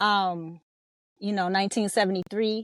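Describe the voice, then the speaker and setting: In an American accent, a woman with a plain, everyday voice speaks at a medium pitch and moderate pace, recorded very cleanly with a silent background and a dry, close sound with no echo. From Los Angeles, California. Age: 50s. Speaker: rapper and hip hop educator. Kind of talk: podcast interview.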